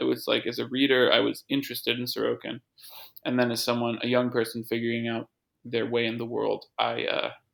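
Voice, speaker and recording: A man with an American accent rattles along at a very fast pace. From US. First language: French. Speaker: literary translator. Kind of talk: interview. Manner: halting, many fillers.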